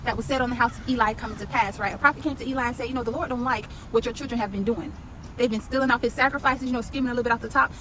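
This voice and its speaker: A woman speaks in an animated tone with a high voice and ordinary pitch variation. Noticeable background noise runs under her speech. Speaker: Bible study teacher. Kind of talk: Bible study. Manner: fast.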